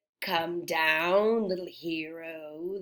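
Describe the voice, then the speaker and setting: A woman's put-on character voice, fairly low in pitch, with fairly even intonation. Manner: evil, crooning, taunting.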